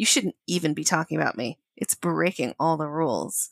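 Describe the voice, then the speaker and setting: A woman with an American accent and a plain, everyday voice speaks at a moderate pace and fairly low pitch with lively intonation, on a very clean recording with a silent background and a dry, close sound with no echo. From Connecticut. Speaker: podcast co-host, romance book reviewer. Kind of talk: casual chat, book discussion with reading aloud.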